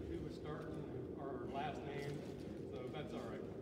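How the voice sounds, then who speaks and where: A man speaks with audible room echo and loud background noise. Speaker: basketball coach. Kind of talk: banquet speech. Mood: grateful, warm. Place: hall. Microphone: camera far.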